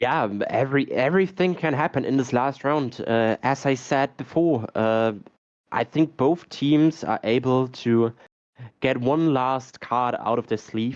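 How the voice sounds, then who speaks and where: A man speaks at a fairly slow pace with a non-native accent. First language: not English. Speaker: esports caster. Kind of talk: live commentary. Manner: halting.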